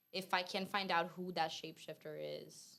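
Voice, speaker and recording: Talking fairly slowly, the woman speaks in a non-native accent. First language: not English. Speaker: debate guest. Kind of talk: casual debate. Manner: hesitant, searching for words.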